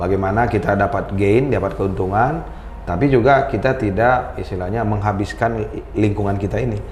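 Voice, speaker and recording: A man with a Medan accent and fairly low pitch at a fairly quick pace, with audible room echo and noticeable background noise. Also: ordinary pitch variation. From North Sumatra, Medan (Batak). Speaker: company founder, sustainability expert. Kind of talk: casual interview.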